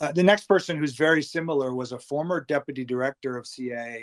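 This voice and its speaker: A man with an American accent and an ordinary speaking voice talks at a fairly quick pace with a fairly high pitch and ordinary pitch variation. The sound is dry and close with no echo, in a very clean recording with a silent background. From Massachusetts. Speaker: former intelligence official and consultant. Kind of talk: interview.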